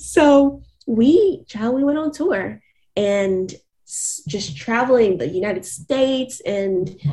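Lively intonation carries a woman's somewhat breathy, medium-pitched voice with a dark, mellow tone. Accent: American. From US South, Atlanta area, Georgia. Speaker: R&B singer. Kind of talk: interview.

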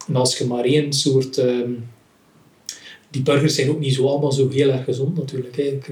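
A man speaks at a medium pitch in a monotone, flat intonation. Room echo is audible around his voice. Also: moderate pace. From West Flanders, Belgium (Rumbeke). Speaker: cartoonist. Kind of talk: casual chat. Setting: at home.

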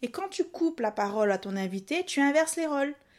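A woman's lively intonation comes through on a very clean recording against a silent background. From Réunion. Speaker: video journalist and podcast coach. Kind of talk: tutorial.

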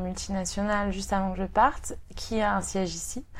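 A woman with a plain, everyday voice talks at a medium pitch and a moderate pace. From Brittany, France (Rennes). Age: 30s. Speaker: expatriate, aspiring singer. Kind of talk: interview.

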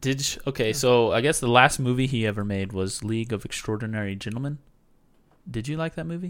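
A man talks in a plain, everyday voice at a fairly quick pace, with medium pitch and ordinary pitch variation. The recording is very clean with a silent background. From US Southwest. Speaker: podcast co-host. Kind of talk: casual chat. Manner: laughs often.

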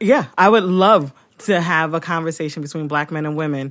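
On a very clean recording with a silent background, a woman with an American accent and a very deep, low pitch talks at a fairly quick pace with fairly even intonation. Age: 40s. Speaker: podcast host. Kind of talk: casual chat. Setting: studio.

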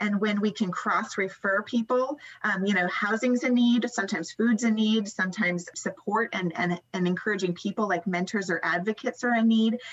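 Over noticeable background noise, a woman talks at a fairly quick pace with hardly any pauses, a fairly high pitch, ordinary pitch variation and very even loudness. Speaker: non-profit founder and executive director. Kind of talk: interview. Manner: fast; animated.

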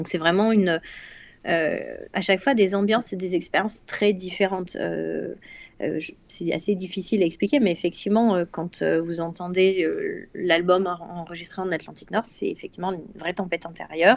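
At a moderate pace, a woman with a medium pitch speaks in an unremarkable speaking voice with fairly even intonation. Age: 30s. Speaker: neuroscience researcher. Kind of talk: casual chat.

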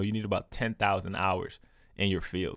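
A man at a fairly quick pace, in a very clean recording with a silent background. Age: 20s. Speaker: solo podcaster. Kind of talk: casual monologue. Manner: halting, many fillers.

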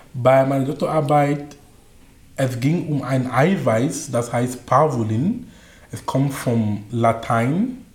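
Over audible room echo, a man with a non-native accent speaks at a very slow pace with ordinary pitch variation. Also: medium pitch for a man. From Cameroon. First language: not German (speaking German). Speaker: coach and speaker. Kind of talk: interview.

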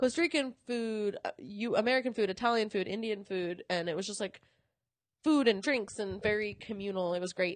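Against a quiet background, a woman with an animated tone speaks at a moderate pace and medium pitch, with ordinary pitch variation. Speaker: podcast host and coffee company sourcing lead. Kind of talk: casual chat. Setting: hotel room, recording while traveling. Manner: casual, animated, laughing often.

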